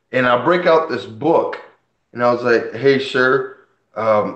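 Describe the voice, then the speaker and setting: A man speaking at a fairly slow pace, with audible room echo. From Puerto Rico, left at age five. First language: Spanish. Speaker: comic collector and channel host. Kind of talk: casual live stream chat. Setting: live stream. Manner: conversational, animated.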